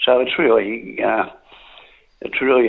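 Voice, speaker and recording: With an Australian accent, a man delivers his words at a moderate pace. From Drouin, Gippsland, Victoria, Australia. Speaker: sports journalist. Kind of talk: radio interview.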